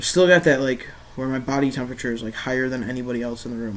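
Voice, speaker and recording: Someone speaks at a very fast pace with fairly even intonation, and the room echo is audible. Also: man. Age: 20s. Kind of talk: casual video diary. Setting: laptop webcam recording. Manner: hesitant, many fillers.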